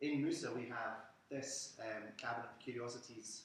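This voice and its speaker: A man with a Scottish accent speaks amid audible room echo. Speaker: museum curator. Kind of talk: lecture.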